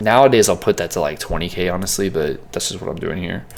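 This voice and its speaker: Fairly quick speech from a man, fairly low in pitch. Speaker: music producer. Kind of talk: tutorial. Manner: fast; casual, filler words.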